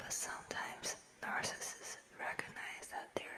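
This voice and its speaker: Someone is whispering at a fairly slow pace. Noticeable background noise runs underneath. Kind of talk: nonfiction book reading. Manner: whispered.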